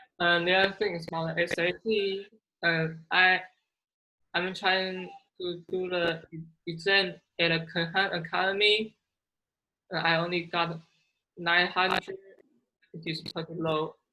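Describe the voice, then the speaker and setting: Speaking with a Chinese accent, the voice stays monotone and flat, broken up by long, frequent pauses. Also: woman, fairly low pitch for a woman, fairly slow pace. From China.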